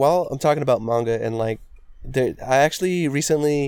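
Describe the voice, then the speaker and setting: A man with a normal speaking voice, a fairly high pitch and ordinary pitch variation. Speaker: podcast co-host. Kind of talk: casual chat.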